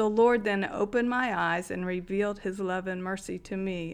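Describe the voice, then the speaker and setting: Here is an unremarkable speaking voice from a woman with a medium pitch. The recording is very clean, with a silent background. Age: 60s. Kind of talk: testimony.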